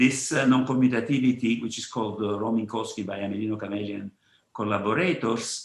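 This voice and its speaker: A man with a Neapolitan accent. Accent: Neapolitan Italian. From Italy, Naples. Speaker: physicist. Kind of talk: conference talk. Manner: halting, many fillers and repetitions.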